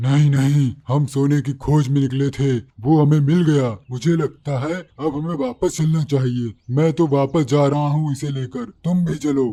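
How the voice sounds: A cartoonish character voice moves at a moderate pace. Its intonation stays fairly even. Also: man, fairly high pitch for a man.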